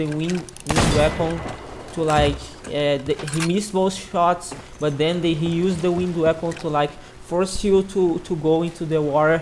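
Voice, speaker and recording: A woman with a non-native accent, fairly low pitch and monotone, flat intonation, over noticeable background noise. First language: not English. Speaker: gaming youtuber. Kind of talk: casual commentary. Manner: halting, many repetitions.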